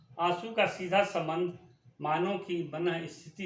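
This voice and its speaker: With audible room echo around him, a man speaks at a high pitch. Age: 60s. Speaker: writer reading his own essays. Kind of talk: reading aloud. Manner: formal.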